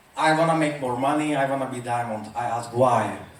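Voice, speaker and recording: Moderate-paced speech from a man, amid noticeable background noise and audible room echo. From Czech Republic. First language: Czech. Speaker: motivational speaker. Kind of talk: motivational talk.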